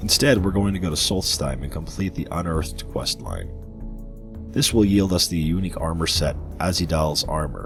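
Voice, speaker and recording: Music plays in the background as a man speaks at a moderate pace. His voice is very deep and low, with lively intonation. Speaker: gaming video narrator. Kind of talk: game guide voiceover.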